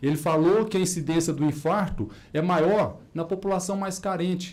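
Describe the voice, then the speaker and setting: The speaker has a slight rural Minas Gerais accent, and room echo can be heard. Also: man. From Minas Gerais, Brazil. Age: 50s. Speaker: cardiologist. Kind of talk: conference talk. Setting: auditorium. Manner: animated.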